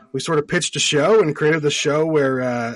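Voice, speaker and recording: At a fairly quick pace, a man with a fairly high pitch speaks with ordinary pitch variation. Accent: Canadian. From Nova Scotia, eastern Canada. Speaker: actor and TV show host. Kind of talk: casual chat. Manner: halting, many fillers.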